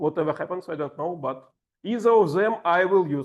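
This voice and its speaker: A man with a strong Russian accent and lively intonation against a quiet background. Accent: heavy Russian. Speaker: table topics master at a speaking club. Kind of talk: workshop instruction.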